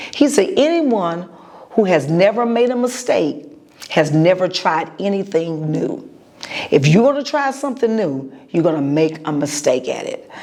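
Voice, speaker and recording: Over noticeable background noise, a woman at a fairly low pitch speaks at a moderate pace with very wide pitch swings. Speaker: podcast host and preacher. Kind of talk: motivational podcast monologue. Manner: pauses to gather thoughts.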